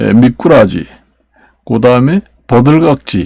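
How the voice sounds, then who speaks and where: A man at a medium pitch speaks at a very slow pace in a dry, close recording with no echo. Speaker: YouTuber. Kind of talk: casual vlog monologue. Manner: halting, many fillers and restarts.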